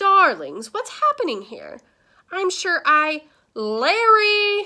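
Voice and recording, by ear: Putting on a character voice, a woman speaks slowly at an extremely high pitch, bright and sharp in tone, with very wide pitch swings.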